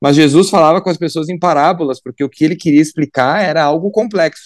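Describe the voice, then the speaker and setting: A man's fairly high voice at a very fast pace, fairly even in intonation, with a dry, close sound and no echo. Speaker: politician. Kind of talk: radio interview.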